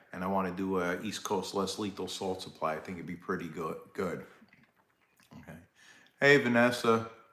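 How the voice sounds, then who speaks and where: A very deep, low-pitched man's voice with a bright, sharp tone and an American accent, at a moderate pace with ordinary pitch variation, big swings in loudness, long, frequent pauses and audible room echo. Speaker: live stream host, less-lethal gear seller. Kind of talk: casual live-stream chat. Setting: live stream. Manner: casual, halting with fillers.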